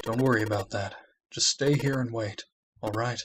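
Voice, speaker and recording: Putting on a character voice, a man speaks at medium pitch and a moderate pace with fairly even intonation. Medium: read story.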